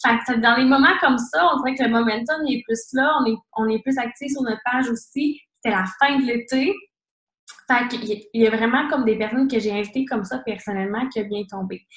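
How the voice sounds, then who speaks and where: Pitch rises and falls in an ordinary way here. The delivery is fairly quick. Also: woman, high pitch for a woman. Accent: Quebec. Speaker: fitness coach. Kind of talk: team call presentation. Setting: conference call. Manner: fast.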